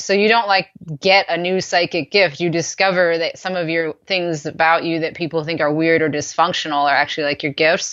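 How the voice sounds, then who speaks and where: Against a quiet background, a woman with an American accent talks at a fairly quick pace in an ordinary speaking voice with ordinary pitch variation. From United States. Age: 30s. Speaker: podcast guest. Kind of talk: interview conversation. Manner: casual, many fillers.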